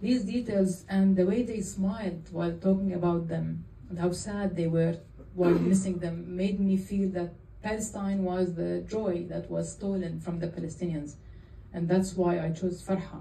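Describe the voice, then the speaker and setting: The woman's voice is somewhat breathy, with a dark, mellow tone and monotone, flat intonation. She speaks at a very slow pace, and the room has an audible echo. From Jordan. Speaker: film director. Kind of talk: Q&A after a film screening. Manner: halting.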